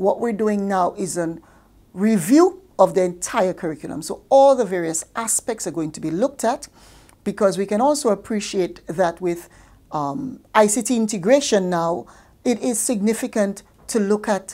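With a dark, mellow tone, a woman speaks at a moderate pace using lively intonation. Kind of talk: interview answer. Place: office. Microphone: lapel.

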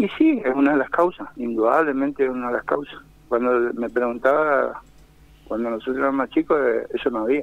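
This man keeps a medium pitch with ordinary pitch variation while talking at a fairly quick pace. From Argentina, Corrientes. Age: 50s. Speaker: kiosk owner, crime victim. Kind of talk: phone interview on radio. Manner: halting.

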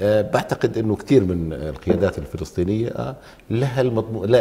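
Lively intonation marks a man's fairly low voice as he talks at a moderate pace. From Jordan (Palestinian refugee family). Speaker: lawyer and former member of parliament; lawyer. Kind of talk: TV political talk show. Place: studio. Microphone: lapel.

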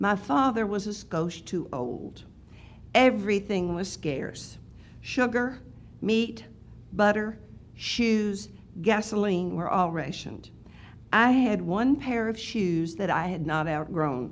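A woman of medium pitch speaks very slowly, leaving long, frequent pauses. Her intonation is lively, and light background noise is present. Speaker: writing class leader. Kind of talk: reading aloud. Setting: stage with audience. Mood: calm, reflective storytelling. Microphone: podium.

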